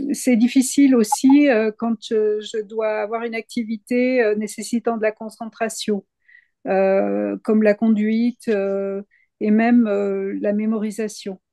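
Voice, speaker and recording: Over a quiet background with a dry, close sound and no echo, a woman speaks at a very slow pace in a fairly high pitch, with a dark, mellow tone and monotone, flat intonation. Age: 60s. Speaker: patient giving testimony. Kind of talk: testimony. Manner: halting, many hesitations.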